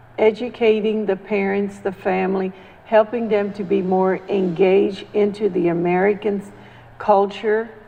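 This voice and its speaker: Noticeable background noise sits behind a woman speaking at medium pitch and a moderate pace in a monotone, flat intonation. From Central America. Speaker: community activist. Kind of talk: panel discussion.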